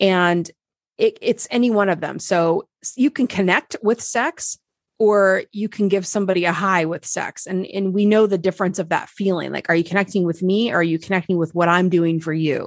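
In an American accent, a woman with a normal speaking voice talks at a moderate pace in a medium pitch with ordinary pitch variation, the sound dry and close with no echo against a quiet background. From Nebraska. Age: 40s. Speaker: relationship coach. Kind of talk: interview.

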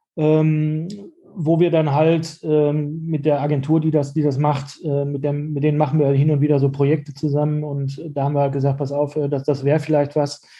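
Against noticeable background noise, a man talks at a moderate pace in a fairly high pitch with monotone, flat intonation. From Germany, Dortmund (Ruhr area). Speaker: shop owner. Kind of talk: interview. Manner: halting, many fillers and repetitions.

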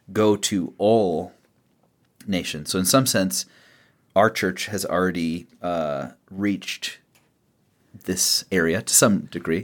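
A man with a very deep, low voice talks at a very slow pace, with ordinary pitch variation and long, frequent pauses. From Tijuana, Mexico. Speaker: radio host and pastor. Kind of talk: radio interview. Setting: studio.

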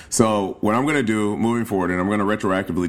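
A man with an American accent has a fairly low pitch. It is a normal speaking voice with ordinary pitch variation. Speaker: travel podcast host. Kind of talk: casual solo podcast talk.

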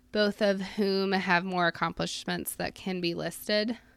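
A woman at a medium pitch in a normal speaking voice, with a moderate pace, fairly even intonation and a very clean recording with a silent background. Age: 20s. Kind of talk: scripted monologue.

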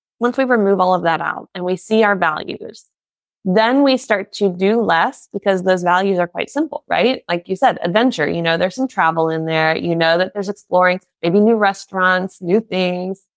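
A woman speaks at a moderate pace with an American accent. Her pitch is medium and varies in an ordinary way. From United States. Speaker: podcast host and therapist. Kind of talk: interview. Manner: animated.

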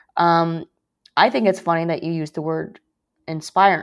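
A woman talks in a normal speaking voice with fairly low pitch and ordinary pitch variation. The background is quiet. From US (moved from China at five). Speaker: business reporter. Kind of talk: interview conversation.

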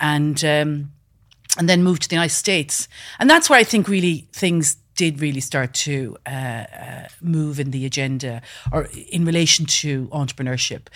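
A woman speaks with a western Irish accent at a very deep, low pitch. Her pace is moderate, with ordinary pitch variation. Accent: Irish, west of Ireland. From west coast of Ireland. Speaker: business founder. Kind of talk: interview. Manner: hesitant, many fillers.

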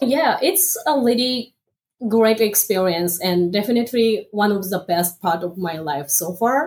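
A woman with a Japanese accent speaks at a fairly slow pace, somewhat breathy, with lively intonation. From northern Japan, Aomori Prefecture. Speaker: MBA student, former automotive engineer. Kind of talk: interview. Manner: halting.

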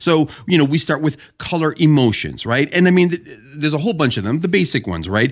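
A man talks at a fairly quick pace with hardly any pauses, his fairly high voice showing lively intonation and vocal fry. The recording is very clean, with a silent background. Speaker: graphic design podcast co-host. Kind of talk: casual chat.

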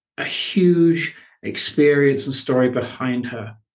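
A man's fairly high-pitched voice, very slow and fairly even in intonation. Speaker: podcast host. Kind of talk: interview, warm and inspirational.

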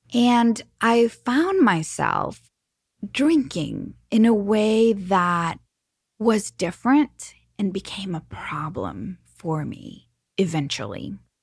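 A somewhat breathy woman at a medium pitch and a very slow pace, in a very clean recording with a silent background. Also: lively intonation. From Mexico. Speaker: podcast host. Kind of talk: casual chat.

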